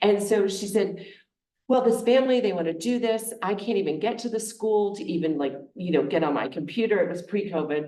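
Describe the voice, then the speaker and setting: Fairly quick speech with lively intonation and audible room echo. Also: woman. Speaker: charitable giving advisor. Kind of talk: presentation to a congregation. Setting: meeting room with audience, also on Zoom.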